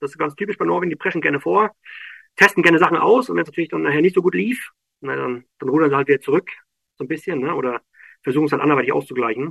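Recorded with a dry, close sound and no echo, a man with a fairly high pitch and vocal fry talks at a very fast pace, with very wide pitch swings, big swings in loudness, and long, frequent pauses. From northern Germany, Schwerin (Mecklenburg-Vorpommern). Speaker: heating installer. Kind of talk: interview. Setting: remote connection. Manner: halting, many fillers.

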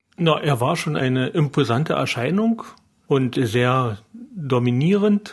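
Somewhat breathy and fairly slow, a man talks at a fairly high pitch with lively intonation. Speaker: surgeon. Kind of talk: interview.

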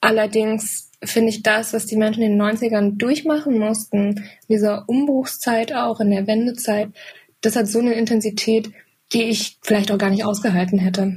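This woman's voice is somewhat breathy and fairly high. She talks at a moderate pace with fairly even intonation. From eastern Germany. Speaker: journalist and filmmaker. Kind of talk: casual chat.

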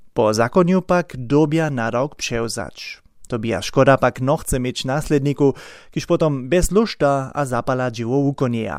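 A plain, everyday voice from a man at a medium pitch, with ordinary pitch variation and a fairly slow pace, on a very clean recording with a silent background. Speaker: radio reporter. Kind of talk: radio news report.

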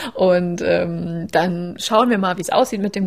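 A woman's normal speaking voice, a normal speaking voice at a moderate pace with lively intonation. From Saxony, Leipzig. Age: 30s. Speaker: endometriosis patient. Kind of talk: interview.

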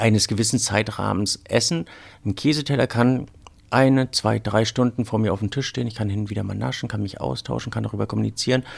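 A man's very fast, fairly low-pitched speech with vocal fry and ordinary pitch variation. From northern Germany, Rügen. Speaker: wine sommelier. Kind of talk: casual interview. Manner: halting.

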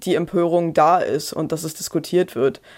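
A woman's fairly low voice at a moderate pace, with fairly even intonation, on a very clean recording with a silent background. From Brandenburg, eastern Germany. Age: 30s. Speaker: historian and author. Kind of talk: interview. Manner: hesitant, with fillers and repetitions.

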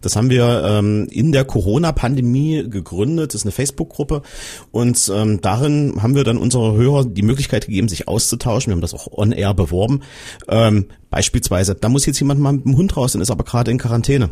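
In a very clean recording with a silent background, a man with a medium pitch, a dark, mellow tone and ordinary pitch variation sounds somewhat breathy as he talks at a very fast pace. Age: 40s. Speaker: radio reporter. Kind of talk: casual panel discussion.

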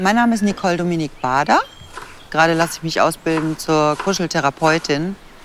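A woman speaks in a normal speaking voice, fairly low in pitch. Her pace is fairly quick, with ordinary pitch variation. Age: 50s. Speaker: cuddle therapist in training. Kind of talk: interview testimony.

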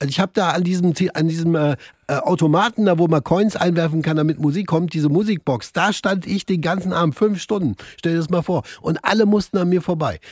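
A man speaks at a fairly quick pace in a high voice, with ordinary pitch variation, very even loudness, and a dry, close sound with no echo. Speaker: radio host. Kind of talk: casual chat. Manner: animated.

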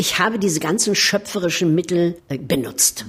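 Over noticeable background noise, a woman talks at a moderate pace in a fairly low voice with ordinary pitch variation. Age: 70s. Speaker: actress. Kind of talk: interview.

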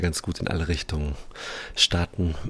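Somewhat breathy and very deep in pitch, a man speaks at a moderate pace with fairly even intonation. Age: 30s. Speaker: musician. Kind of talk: interview.

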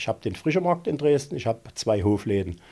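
With lively intonation, a man's somewhat breathy, dark, mellow voice of medium pitch comes through on a very clean recording with a silent background. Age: 50s. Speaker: pond fish farmer. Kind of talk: casual interview.

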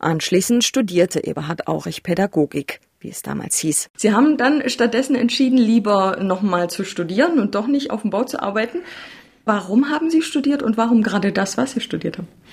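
A woman's fairly high, somewhat breathy voice, fairly quick in pace, with lively intonation. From Saxony, Germany. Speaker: podcast host, journalist. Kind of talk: narration and interview.

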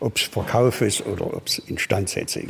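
A moderate pace carries this delivery. There is a somewhat breathy quality throughout. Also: man. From Thuringia, Apolda area. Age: 70s. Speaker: classic car restorer. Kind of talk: interview.

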